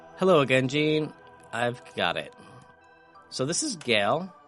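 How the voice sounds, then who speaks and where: With lively intonation, a man takes a fairly slow pace as music plays in the background. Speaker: gaming video creator. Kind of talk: casual gameplay commentary.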